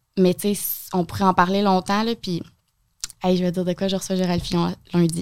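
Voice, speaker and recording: In a Quebec accent, a woman speaks fairly quickly but with long, frequent pauses, her intonation monotone and flat. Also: medium pitch for a woman. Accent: Québécois French. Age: 20s. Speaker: TV host and content creator. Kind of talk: casual interview.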